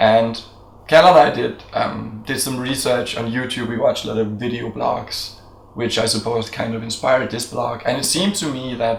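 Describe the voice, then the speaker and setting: A man at medium pitch with ordinary pitch variation and a moderate pace, with noticeable background noise and audible room echo. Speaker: video blogger. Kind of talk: casual chat.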